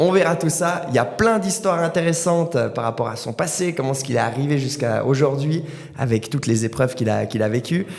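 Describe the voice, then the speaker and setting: A man with a fairly high pitch, lively intonation and a fairly quick pace, over noticeable background noise. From Valais, Switzerland. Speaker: podcast host, martial arts instructor. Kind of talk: interview. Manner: hesitant, many fillers.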